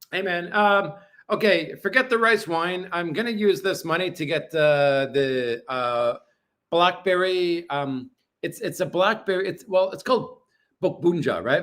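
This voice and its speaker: This man talks at a fairly slow pace with a high pitch for a man and lively intonation. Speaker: livestreamer. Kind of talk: casual livestream chat. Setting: apartment livestream. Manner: loud.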